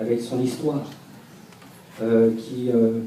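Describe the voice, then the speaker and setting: A man with a French accent speaks at a fairly slow pace, with audible room echo and noticeable background noise. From France. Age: 30s. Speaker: hip-hop dancer. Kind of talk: panel discussion. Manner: halting.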